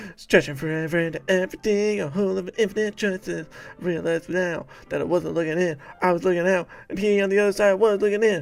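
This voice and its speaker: A man's put-on character voice, high in pitch and delivered at a very fast pace. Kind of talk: poetry reading. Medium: game stream.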